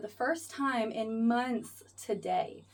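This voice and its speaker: In an American accent, a woman talks with a fairly high pitch. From US South, South Florida (Fort Lauderdale). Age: 20s. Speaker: vlogger, flight attendant. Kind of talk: casual vlog talk to camera. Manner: casual, halting with fillers.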